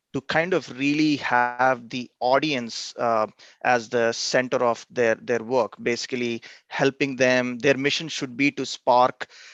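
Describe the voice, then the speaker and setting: The speaker has a non-native accent and talks at a fairly slow pace with fairly even intonation. The sound is dry and close with no echo, over a quiet background. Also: man. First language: not English. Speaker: engineering professor. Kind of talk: interview.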